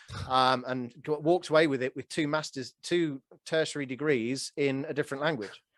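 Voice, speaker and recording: An ordinary speaking voice moves at a fairly quick pace with fairly even intonation, captured in a very clean, dry, close recording with no echo and a silent background. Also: man, fairly high pitch for a man. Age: 40s. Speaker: real estate note investor. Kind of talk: podcast interview conversation.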